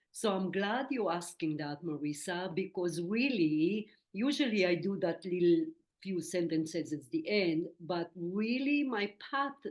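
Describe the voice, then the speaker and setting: A woman speaks at a fairly slow pace with an Israeli accent. Her pitch sits fairly low. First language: Hebrew. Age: 60s. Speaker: medium and spiritual teacher. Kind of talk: interview.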